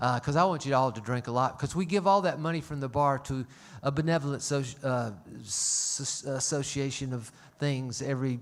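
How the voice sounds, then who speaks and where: Speaking at a fairly quick pace, a man talks with a Southern US accent. His pitch sits in the medium range. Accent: Southern US (Georgia). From US South, Atlanta, Georgia. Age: 60s. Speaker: concert venue owner and emcee. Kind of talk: stage announcements to live audience. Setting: stage with audience, livestreamed. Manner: folksy, jokey, conversational.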